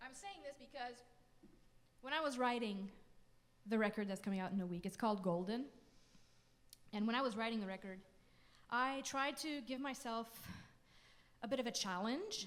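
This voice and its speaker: A woman with a Quebec accent at a fairly high pitch and moderate pace, with ordinary pitch variation, long, frequent pauses and audible room echo. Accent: French Canadian accent in English. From French Canada. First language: French. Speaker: folk singer-songwriter. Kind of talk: between-song stage banter. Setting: concert stage with audience. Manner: casual, hesitant with fillers.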